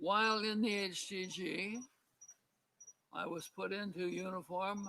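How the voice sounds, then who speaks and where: Raised and projected, a man's voice has a bright, sharp tone, a high pitch and fairly even intonation. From Hawaii, Oahu. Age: 90s. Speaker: war veteran. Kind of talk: reading aloud.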